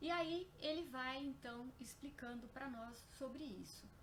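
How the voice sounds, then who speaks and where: High-pitched woman's voice with ordinary pitch variation and audible room echo. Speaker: spiritist lecturer. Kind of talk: lecture. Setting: live stream on Facebook. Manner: soft-spoken. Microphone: too quiet at first, then boosted.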